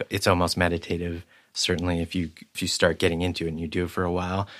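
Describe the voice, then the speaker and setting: On a very clean recording with a silent background, the speech goes at a fairly quick pace. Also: man. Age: 40s. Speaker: photographer. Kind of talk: casual chat.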